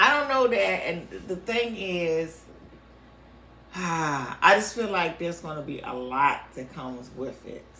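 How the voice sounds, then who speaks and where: Amid audible room echo, a woman with a fairly low pitch talks at a fairly slow pace, with very wide pitch swings, big swings in loudness and long, frequent pauses. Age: 50s. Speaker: podcast co-host. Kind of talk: casual chat.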